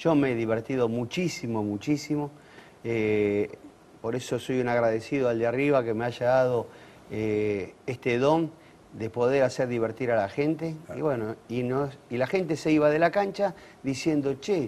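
Long, frequent pauses break up a man's speech at a moderate pace with ordinary pitch variation. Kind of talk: interview answer. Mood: nostalgic, lively. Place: studio. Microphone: lapel.

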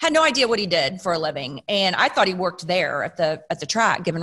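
A woman with a Texan accent at a fairly quick pace, against a quiet background. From Texas, Plano. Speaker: racing driver's wife. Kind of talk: storytelling in casual chat. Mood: warm, amused storytelling. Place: studio. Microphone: studio mic.

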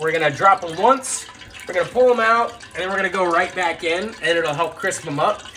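A man's high voice at a fairly quick pace, with light background noise. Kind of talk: tutorial. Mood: relaxed, playful. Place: kitchen.

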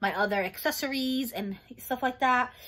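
With a bright, sharp tone and ordinary pitch variation, a woman speaks at a moderate pace. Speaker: haul vlogger. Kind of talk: casual vlog chat. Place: home room. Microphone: phone near.

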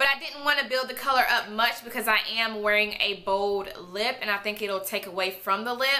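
This is a woman speaking at a moderate pace. Her pitch varies in an ordinary way. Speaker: beauty vlogger. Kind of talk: product review vlog. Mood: enthusiastic, upbeat. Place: home room.

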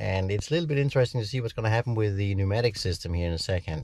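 A man's dark, mellow voice, somewhat breathy, with ordinary pitch variation and a dry sound with no echo. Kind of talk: casual vlog chat. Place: car. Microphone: phone near.

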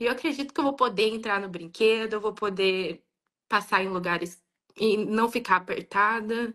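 A woman talks at a moderate pace in a fairly high voice with a bright, sharp tone. Her pitch varies in an ordinary way against a quiet background. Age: 20s. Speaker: viewer on live call. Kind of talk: personal testimony. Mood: earnest, personal. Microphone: video call.

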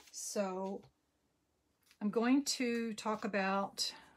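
A woman with an American accent, her intonation flat and monotone. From New Jersey. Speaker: papercraft demonstrator. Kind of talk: crafting tutorial. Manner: casual with frequent fillers.

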